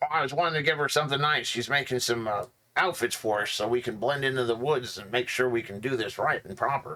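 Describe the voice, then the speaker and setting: A man does a put-on character voice at medium pitch and a very fast pace. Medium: actual play. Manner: friendly, rambling.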